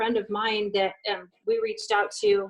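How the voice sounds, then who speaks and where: A woman with a fairly high pitch speaks at a moderate pace, her intonation fairly even. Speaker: health coach. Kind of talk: casual chat. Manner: loud; hesitant, many fillers.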